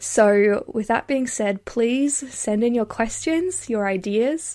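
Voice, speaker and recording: A woman with an Australian accent talks at a fairly slow pace and a fairly high pitch, with lively intonation, in a very clean recording with a silent background. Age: 20s. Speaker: podcast host and public policy student. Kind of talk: scripted introduction monologue.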